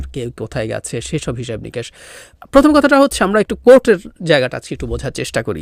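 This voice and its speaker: Big swings in loudness mark this man's speech, captured with a dry, close sound and no echo. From Bangladesh, Rangamati hill district. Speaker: political commentator. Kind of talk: political commentary.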